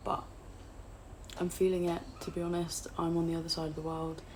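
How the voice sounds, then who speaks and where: In an English accent, a woman speaks at a fairly low pitch and a moderate pace, with audible room echo. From England, outside London. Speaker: booktuber. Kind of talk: casual vlog chat. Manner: hesitant, with fillers.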